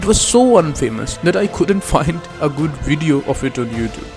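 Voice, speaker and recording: Music plays in the background. A man with a fairly high pitch speaks at a moderate pace. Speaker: car history narrator. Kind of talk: documentary voice-over narration.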